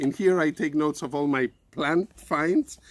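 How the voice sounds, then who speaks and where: Speaking at a moderate pace, a man with a Spanish accent has a fairly high pitch. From Spain. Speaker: science communicator and teacher. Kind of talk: educational presentation for children. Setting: outdoors in a garden.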